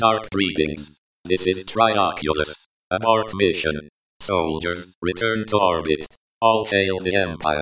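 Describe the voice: A man uses a put-on, robotic character voice with a very deep, low pitch at a fairly slow pace.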